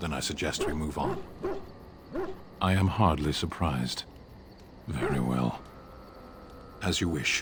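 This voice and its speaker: A man uses a put-on character voice with a very deep, low pitch and a deadpan tone, at a moderate pace. Long, frequent pauses break up the speech, with clear background noise. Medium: video game. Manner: terse, formal, deadpan.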